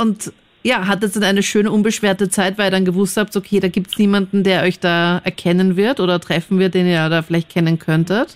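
A woman's plain, everyday voice at a medium pitch, fairly quick in pace, with fairly even intonation and very even loudness. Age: 20s. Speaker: radio host. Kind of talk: call-in radio talk.

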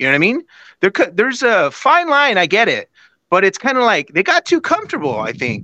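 A man with an American accent speaks in an extremely high pitch, raised and projected, with a bright, sharp tone and very wide pitch swings at a fairly quick pace. The sound is dry and close with no echo over a quiet background. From San Jose, California. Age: 40s. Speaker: caller. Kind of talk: casual chat. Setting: video call.

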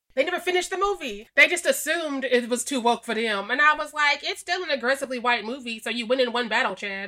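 Loud and projected, a woman with a high pitch, a bright, sharp tone and an American accent talks at a very fast pace with lively intonation and hardly any pauses. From Missouri. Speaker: horror writer and podcaster. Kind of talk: casual chat.

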